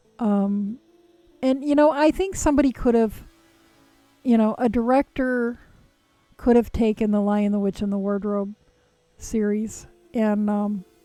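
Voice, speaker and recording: Music plays in the background as a woman talks at a fairly slow pace in a fairly high pitch. Her speech has long, frequent pauses. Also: ordinary pitch variation. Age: 60s. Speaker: knitting live streamer. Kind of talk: casual chat. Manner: halting.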